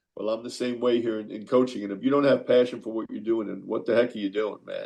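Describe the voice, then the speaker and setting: Talking at a very fast pace, a man speaks with a New York accent. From New York (Queens). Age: 60s. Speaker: college basketball coach. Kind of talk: radio interview.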